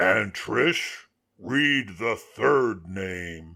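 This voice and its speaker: A man puts on a character voice. It comes out raspy and fairly low in pitch. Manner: cold, condescending.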